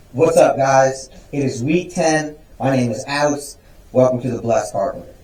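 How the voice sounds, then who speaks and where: Against noticeable background noise, a man talks at a moderate pace and a fairly high pitch. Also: long, frequent pauses. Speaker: woodworking YouTuber. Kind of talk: vlog intro takes. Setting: workshop.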